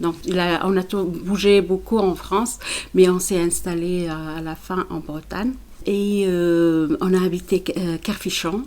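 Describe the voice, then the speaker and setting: The recording is very clean, with a silent background. A woman talks at a very slow pace and a medium pitch with fairly even intonation. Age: 60s. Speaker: municipal election candidate. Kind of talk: interview. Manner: halting.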